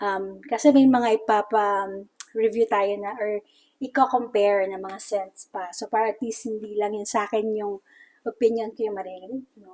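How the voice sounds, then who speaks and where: Loudness jumps up and down a lot while the pace stays moderate and the intonation is fairly even. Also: woman, fairly high pitch for a woman. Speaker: beauty product reviewer. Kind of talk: casual product review chat.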